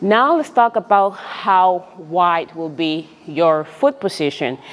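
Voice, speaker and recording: Speaking at a medium pitch with lively intonation, a woman has a non-native accent. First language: not English. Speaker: personal trainer. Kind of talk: tutorial. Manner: halting.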